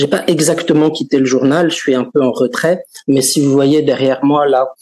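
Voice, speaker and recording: A man speaks at a moderate pace in a fairly high pitch. He has a plain, everyday voice. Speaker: journalist, webmaster. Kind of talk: interview. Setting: video call from office.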